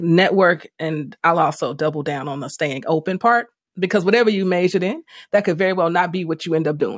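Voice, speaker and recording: With an animated tone, a woman talks at a fairly quick pace in a fairly low voice with ordinary pitch variation. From US Midwest, South Side of Chicago. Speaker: podcast host, media CEO. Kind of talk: casual interview chat. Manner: animated, laughing often.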